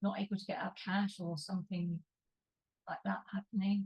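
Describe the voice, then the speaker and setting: Somewhat breathy, a woman's voice comes through in a dry, close sound with no echo. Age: 70s. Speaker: party member. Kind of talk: casual chat. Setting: video call.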